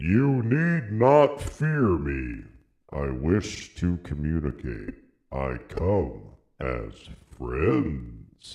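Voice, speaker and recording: This man puts on a character voice. He speaks at a very slow pace with a very deep, low pitch. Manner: friendly.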